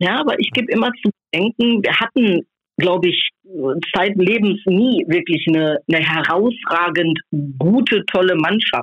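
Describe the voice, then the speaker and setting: This woman has a plain, everyday voice, medium in pitch, with lively intonation and very even loudness. She speaks at a fairly slow pace. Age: 50s. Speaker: football fan magazine co-publisher. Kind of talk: casual chat. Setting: phone call.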